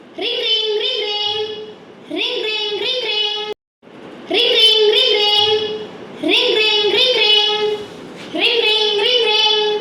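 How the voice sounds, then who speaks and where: In a put-on character voice, a woman speaks very slowly in a squeaky, extremely high, flat monotone. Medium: stage play. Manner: formal, polite.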